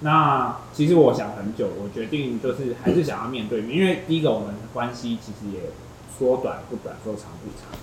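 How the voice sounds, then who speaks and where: A man talks at a moderate pace and medium pitch with ordinary pitch variation and big swings in loudness. Noticeable background noise and audible room echo fill the recording. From Taiwan, Tainan. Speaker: podcast guest sharing breakup story. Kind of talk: casual chat.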